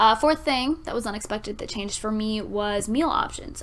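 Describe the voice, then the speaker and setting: There is noticeable background noise. Through it comes a woman's voice. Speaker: vlogger. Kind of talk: casual chat.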